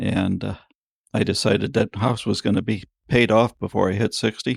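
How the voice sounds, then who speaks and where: A man speaks at a fairly low pitch in a flat monotone, recorded very cleanly against a silent background. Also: dry, close sound with no echo. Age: 60s. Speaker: farrier. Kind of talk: interview.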